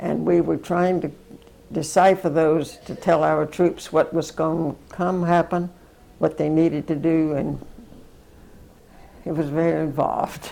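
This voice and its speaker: Speaking at a fairly slow pace with a Southern US accent, this voice leaves long, frequent pauses. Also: woman. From US South. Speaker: war veteran. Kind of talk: interview.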